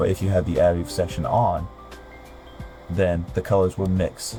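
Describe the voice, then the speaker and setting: Music plays in the background as a man talks at a moderate pace. His pitch is very deep and low, with ordinary variation. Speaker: gaming video creator. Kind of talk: game tutorial narration. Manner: casual, a bit hesitant.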